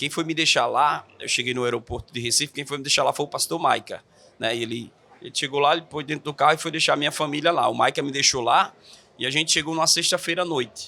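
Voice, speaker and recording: A man with a northeastern Brazilian accent talks at a very fast pace in a fairly high pitch. His tone is bright and sharp, and his intonation stays fairly even. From Natal, Rio Grande do Norte, Brazil. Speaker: pastor and church planter. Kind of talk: podcast interview.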